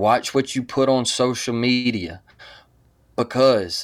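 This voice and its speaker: This man talks at a very slow pace. His pitch is medium. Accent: Southern US. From US South, Mobile, Alabama. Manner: animated.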